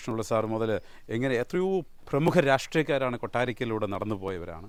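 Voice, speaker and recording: In a very clean recording with a silent background, a man uses a normal speaking voice with lively intonation. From Kerala, Kottarakkara (Kollam). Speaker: NRI commission member and motivational speaker. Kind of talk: interview. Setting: at his home.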